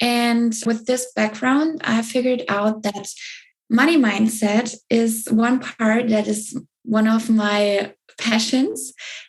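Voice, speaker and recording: A woman speaks very slowly in a somewhat breathy, fairly high voice, her intonation fairly even and her loudness very even. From southern Germany. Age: 20s. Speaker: spiritual business coach. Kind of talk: interview. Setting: podcast.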